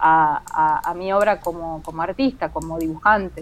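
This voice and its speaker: With ordinary pitch variation, a woman's words come at a fairly slow pace. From Venezuela, with childhood in Kansas City, US. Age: 40s. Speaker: comic artist and architect. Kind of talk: interview.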